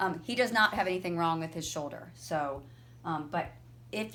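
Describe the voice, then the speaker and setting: With an ordinary speaking voice, a woman talks at a fairly low pitch. Her pace is moderate. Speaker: physical therapist. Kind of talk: tutorial. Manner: casual, informal.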